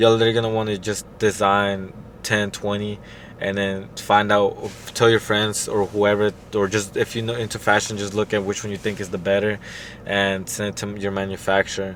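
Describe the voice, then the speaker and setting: A man with a fairly low pitch speaks fairly quickly in a monotone, flat way amid noticeable background noise. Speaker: clothing brand owner, YouTuber. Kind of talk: tutorial. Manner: fast; casual, hesitant with fillers.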